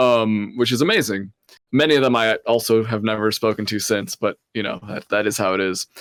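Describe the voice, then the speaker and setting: Recorded with a dry, close sound and no echo, a man talks in an ordinary speaking voice at medium pitch with ordinary pitch variation. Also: fairly quick pace. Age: 20s. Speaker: podcast co-host. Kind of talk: casual chat.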